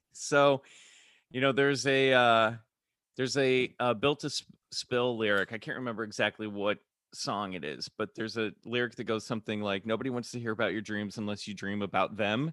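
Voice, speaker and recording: A man with a Midwestern accent at a fairly quick pace, medium pitch and ordinary pitch variation, in a very clean recording with a silent background. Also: dry, close sound with no echo. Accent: General American (Midwest). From US Midwest, Kansas City. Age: 40s. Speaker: actor and podcaster. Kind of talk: casual interview. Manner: halting, many fillers.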